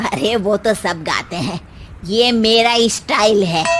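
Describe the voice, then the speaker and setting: Someone in a cartoonish character voice speaks at a moderate pace with ordinary pitch variation, with clear background noise behind them. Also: woman, medium pitch for a woman. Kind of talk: cartoon comedy. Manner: boastful, theatrical.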